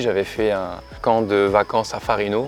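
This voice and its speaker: A man talking at a fairly slow pace, with music in the background. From New Caledonia. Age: 30s. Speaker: dancer and dance teacher. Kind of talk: casual interview. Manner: hesitant, many fillers.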